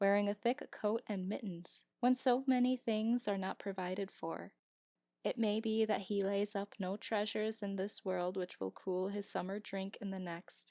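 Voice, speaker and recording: Recorded very clean with a silent background and a dry, close sound with no echo, a woman with a plain, everyday voice speaks at a fairly slow pace and medium pitch. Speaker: amateur audiobook narrator. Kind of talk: audiobook reading.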